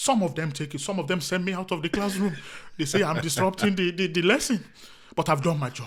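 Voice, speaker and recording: Speaking very fast with an African accent, a man uses a high pitch with ordinary pitch variation. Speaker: comedian. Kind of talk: casual chat.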